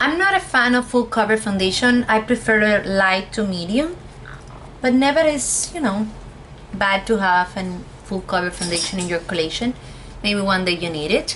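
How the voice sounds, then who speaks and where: Over noticeable background noise, a woman talks at a moderate pace in a medium pitch with lively intonation. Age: 20s. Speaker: cosmetologist, beauty reviewer. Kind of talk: casual talk to camera, product review.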